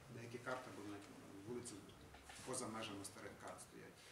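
A man speaks over noticeable background noise. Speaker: web programmer. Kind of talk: project presentation. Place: hall.

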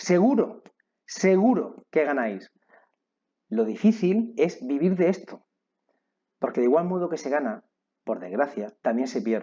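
Speaking at a fairly slow pace with long, frequent pauses, a man uses a high, dark and mellow voice whose pitch swings very widely. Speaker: online trading teacher. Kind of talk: online course lecture.

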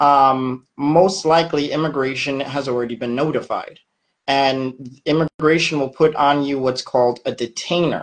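Over a quiet background, a plain, everyday voice speaks at a moderate pace. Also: man, fairly high pitch for a man, fairly even intonation. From United States. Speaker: immigration attorney. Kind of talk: interview answers. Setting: video call. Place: office. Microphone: video call.

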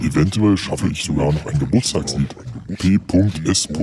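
A man puts on a character voice. Clear background noise can be heard. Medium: audio drama. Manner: matter-of-fact, instructive.

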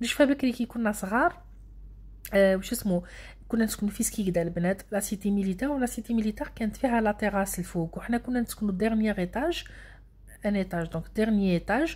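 Speaking at a very fast pace, a somewhat breathy voice shows ordinary pitch variation on a very clean recording with a silent background. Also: woman, medium pitch for a woman. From Algeria, Annaba. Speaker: vlogger. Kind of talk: casual vlog narration. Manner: fast, animated.

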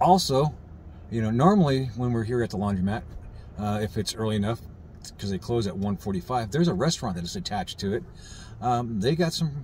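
Over light background noise, a man speaks at a fairly quick pace in a somewhat breathy voice, the sound dry with no echo. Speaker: RV travel vlogger. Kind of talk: casual vlog chat. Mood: calm, mildly concerned. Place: car. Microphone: phone near.

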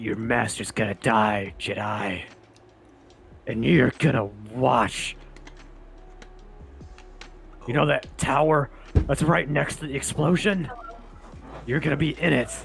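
A man puts on a character voice at a medium pitch. He speaks fairly slowly, with long, frequent pauses. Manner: menacing, theatrical.

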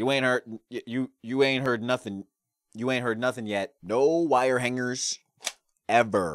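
Over light background noise, a man talks at a fairly slow pace in a dry sound with no echo. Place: studio. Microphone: studio mic.

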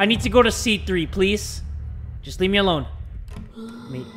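A man's raised, projected voice carries a bright, sharp tone. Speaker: gaming YouTuber. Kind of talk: horror game commentary. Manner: screaming, panicked.

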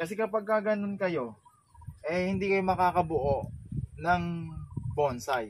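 The pace is fairly slow. A man talks with ordinary pitch variation. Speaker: bonsai vlogger. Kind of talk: casual vlog chat. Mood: calm, slightly regretful. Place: waterside. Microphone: camera far.

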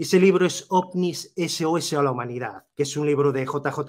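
With ordinary pitch variation, a man speaks at a fairly high pitch. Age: 40s. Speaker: YouTuber. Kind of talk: interview. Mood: reflective, personal storytelling. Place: home room. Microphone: video call.

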